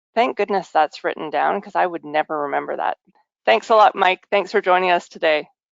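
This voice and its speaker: Her voice is fairly low for a woman, with vocal fry and ordinary pitch variation, at a fairly quick pace. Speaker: webinar host. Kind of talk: webinar presentation.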